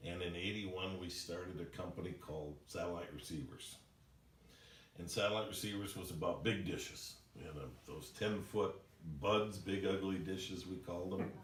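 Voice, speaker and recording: A man's very deep, low voice with fairly even intonation at a moderate pace, plus audible room echo and noticeable background noise. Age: 60s. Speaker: company president. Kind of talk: employee orientation presentation. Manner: casual, conversational with fillers.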